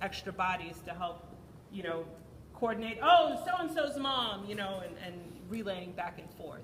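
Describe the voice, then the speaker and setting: Audible room echo surrounds the voice. A woman speaks at a medium pitch. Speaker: PTA meeting leader. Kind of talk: community meeting talk. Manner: loud.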